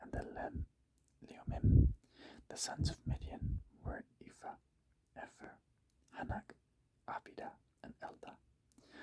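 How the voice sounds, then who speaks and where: A man whispers at a fairly slow pace, with long, frequent pauses. His loudness swings widely. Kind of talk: Bible reading, ASMR. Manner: whispered, slow.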